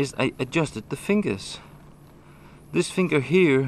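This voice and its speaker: With a Danish accent, a man speaks at a moderate pace with lively intonation. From Denmark. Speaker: motorcycle video blogger. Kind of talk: tutorial. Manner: halting.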